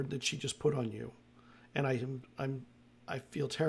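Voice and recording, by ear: The text is being read aloud. The voice used is natural.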